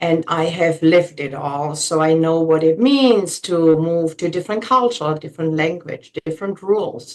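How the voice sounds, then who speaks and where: In a German accent, a woman with a fairly low pitch talks at a fairly slow pace. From Germany. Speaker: realtor. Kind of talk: interview.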